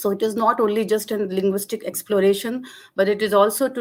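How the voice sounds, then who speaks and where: A woman with a Jammu accent and fairly even intonation. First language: Dogri. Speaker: linguistics lecturer. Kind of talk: academic webinar presentation. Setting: online webinar. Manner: hesitant, many fillers.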